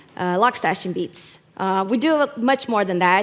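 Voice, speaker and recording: A woman with a Brazilian Portuguese accent and lively intonation. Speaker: community program manager. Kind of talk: conference talk. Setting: stage with audience. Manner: hesitant, many fillers.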